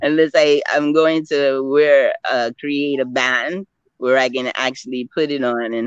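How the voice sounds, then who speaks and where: The delivery is fairly slow, with ordinary pitch variation. The sound is dry and close, without any echo. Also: woman. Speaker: panel guest. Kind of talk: interview discussion. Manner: halting, many fillers.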